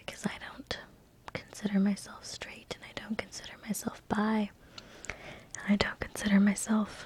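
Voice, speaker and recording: The speaker is whispering. Noticeable background noise runs underneath. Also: moderate pace. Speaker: ASMR video creator. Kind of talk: ASMR talk to camera. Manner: whispered.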